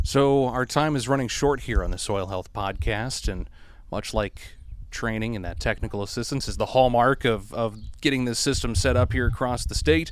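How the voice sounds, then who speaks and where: A man with an unremarkable speaking voice talks at medium pitch and a moderate pace, using ordinary pitch variation. The recording is very clean, with a silent background. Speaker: podcast host. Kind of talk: casual chat interview. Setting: outdoors on a porch.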